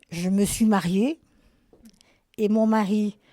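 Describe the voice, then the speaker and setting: A woman's dark, mellow tone at a medium pitch, on a very clean recording with a silent background. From Lorraine, France (Nancy area). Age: 70s. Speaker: retired nurse, seniors' club president. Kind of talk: interview. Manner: hesitant, many fillers.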